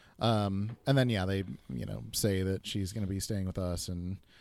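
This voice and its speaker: The man's voice sits fairly low, with an American accent. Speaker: guest co-host. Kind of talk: casual chat. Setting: remote call.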